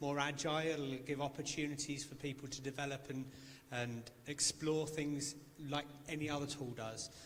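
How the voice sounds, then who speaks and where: A man's intonation stays monotone and flat, with noticeable background noise in the clip. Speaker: engineering panelist. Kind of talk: panel discussion. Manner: loud.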